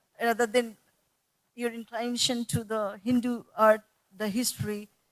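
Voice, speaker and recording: A woman is speaking. She has a Bengali accent. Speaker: art school director and panelist. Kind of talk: panel discussion. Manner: halting.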